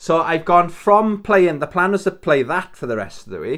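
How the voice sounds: A man speaks in a high pitch at a fairly slow pace.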